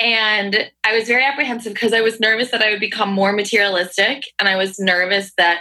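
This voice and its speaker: In a plain, everyday voice, a woman with an American accent speaks at a moderate pace and medium pitch. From Hudson Valley, upstate New York. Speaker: travel podcaster and tutor. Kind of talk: casual interview chat.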